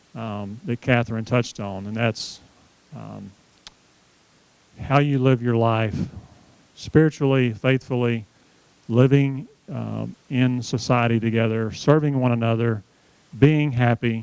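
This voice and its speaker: A man's medium-pitched voice at a fairly slow pace, fairly even intonation, big swings in loudness, and long, frequent pauses. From US South, Tennessee. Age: 60s. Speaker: seminar speaker on aging. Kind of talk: seminar talk. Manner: conversational, addresses audience directly.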